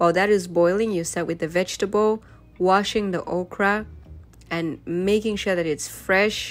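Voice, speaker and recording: Over music in the background, a woman speaks at medium pitch and a moderate pace with fairly even intonation. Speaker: family vlogger. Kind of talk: voiceover narration of cooking video.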